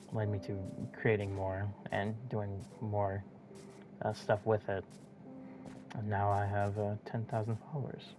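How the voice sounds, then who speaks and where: Over music in the background, a man with a fairly low pitch speaks at a fairly slow pace with fairly even intonation and long, frequent pauses. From Minnesota. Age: young. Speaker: gamer and video editor. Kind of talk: casual monologue while gaming. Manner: halting, stuttering.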